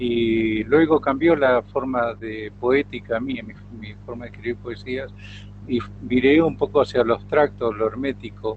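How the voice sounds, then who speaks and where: Medium-pitched male voice with fairly even intonation and big swings in loudness. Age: 60s. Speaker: writer, retired lawyer. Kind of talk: interview. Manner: hesitant, many fillers.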